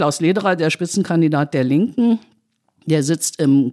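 A woman speaks in a dark, mellow tone with lively intonation. The sound is dry and close with no echo, on a very clean recording with a silent background. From West Berlin, Germany (born in Tehran). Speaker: political journalist. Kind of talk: casual chat.

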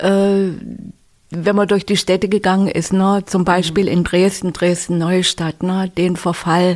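At a very slow pace, a woman speaks in a medium pitch with monotone, flat intonation. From Sachsen-Anhalt, eastern Germany (village). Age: 70s. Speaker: retired physician. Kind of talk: interview.

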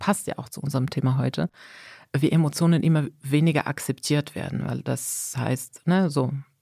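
A woman speaks at a moderate pace with a dark, mellow tone. The sound is dry and close, with no echo. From Morocco. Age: 40s. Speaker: manager. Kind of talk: interview. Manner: animated.

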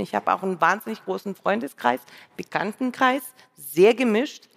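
Speech at a moderate pace over music in the background, with a dry, close sound and no echo. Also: woman. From Russia, St. Petersburg. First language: Russian (speaking German). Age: 50s. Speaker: radio editor-in-chief. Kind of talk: live stage conversation. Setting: stage with audience.

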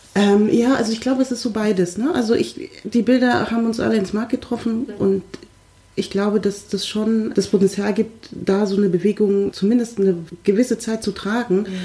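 Against noticeable background noise, a woman talks at a fairly quick pace in a fairly high pitch with ordinary pitch variation. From Munich, Germany. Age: 30s. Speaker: diversity trainer. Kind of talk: casual discussion.

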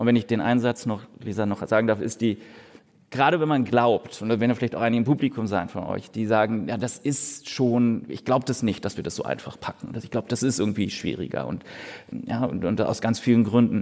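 Here a man talks at a fairly quick pace in an unremarkable speaking voice, medium in pitch with ordinary pitch variation. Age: 40s. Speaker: economist. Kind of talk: live podcast conversation. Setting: stage with audience.

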